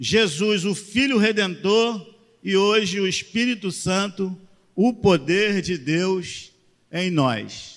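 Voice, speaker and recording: A man with a high pitch and ordinary pitch variation talks at a very slow pace. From Rio de Janeiro, Brazil. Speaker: pastor. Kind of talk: sermon. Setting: church.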